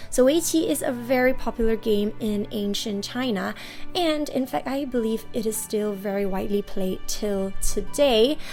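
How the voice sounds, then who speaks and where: Music plays in the background as a woman speaks at moderate speed with ordinary variation in pitch. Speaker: toy unboxing channel host. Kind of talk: casual unboxing talk to camera.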